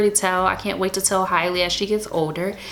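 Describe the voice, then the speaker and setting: There's audible room echo and noticeable background noise as a woman speaks. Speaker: lifestyle vlogger. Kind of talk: personal storytelling vlog. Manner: casual, filler-heavy; fast.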